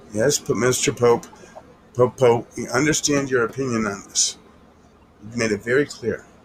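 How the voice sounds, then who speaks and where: A man at a moderate pace with long, frequent pauses, fairly even intonation, and noticeable background noise. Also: medium pitch for a man. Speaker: crypto livestream co-host. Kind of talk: casual chat. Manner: trying to keep it quiet.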